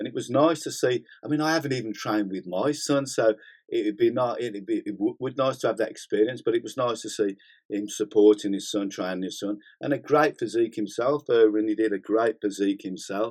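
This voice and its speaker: With a British accent, a man at a medium pitch talks at a fairly quick pace with ordinary pitch variation against a quiet background. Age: 60s. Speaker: gym owner and bodybuilding channel host. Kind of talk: casual live-stream chat. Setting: studio. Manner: animated, swearing freely.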